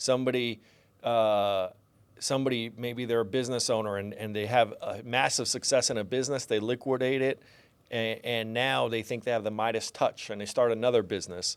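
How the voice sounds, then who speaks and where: A man speaks at a fairly quick pace in a medium pitch. His intonation is fairly even, and the recording is very clean with a silent background. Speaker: financial advisor. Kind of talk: podcast conversation. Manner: mumbling; conversational, filler-heavy.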